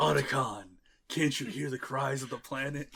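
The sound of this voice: A man's raspy, put-on character voice at a medium pitch, delivered at a moderate pace.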